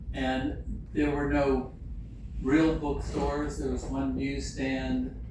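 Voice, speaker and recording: A man talks at a very slow pace with audible room echo. Noticeable background noise is present as well. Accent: American. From US South, Lynchburg, Virginia. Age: 70s. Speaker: illustrator. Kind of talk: public talk with slides. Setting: museum event with live audience. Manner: hesitant, many fillers.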